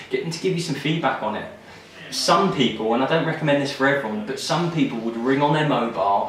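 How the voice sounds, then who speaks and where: In an English accent, someone talks at a fairly quick pace, with audible room echo and noticeable background noise. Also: man. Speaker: recruitment business owner giving career advice. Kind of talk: advice monologue to camera.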